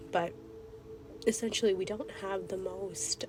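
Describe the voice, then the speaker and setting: A woman talks at a moderate pace with lively intonation. Noticeable background noise runs underneath. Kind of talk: casual spiritual dream log talk to camera. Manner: hesitant, many filler words.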